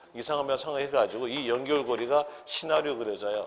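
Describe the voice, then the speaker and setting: A man speaks in a plain, everyday voice at a medium pitch, with ordinary pitch variation. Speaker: real estate tax law instructor. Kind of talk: lecture.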